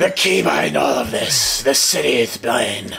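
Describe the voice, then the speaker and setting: A man puts on a raspy character voice at a moderate pace. Clear background noise runs underneath. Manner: grimly serious, mock-heroic.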